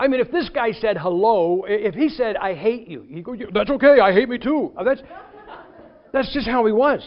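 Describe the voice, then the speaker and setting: Lively intonation and an animated tone at a moderate pace. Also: man, extremely high pitch for a man. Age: 60s. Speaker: preacher. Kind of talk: sermon.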